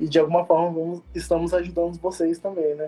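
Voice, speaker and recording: High pitch and a dark, mellow tone from a man. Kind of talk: interview in a live stream.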